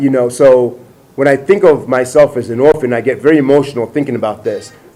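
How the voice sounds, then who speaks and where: Over music in the background, a man with a fairly high voice talks very fast with fairly even intonation. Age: 40s. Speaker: presidential candidate. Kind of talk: interview. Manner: halting.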